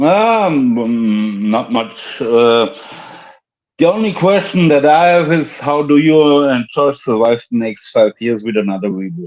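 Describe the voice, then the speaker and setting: Speaking with a German accent at a fairly slow pace, a man's fairly high voice makes very wide pitch swings. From Germany. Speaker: caller. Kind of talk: call-in discussion. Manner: halting, many fillers. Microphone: sounds good.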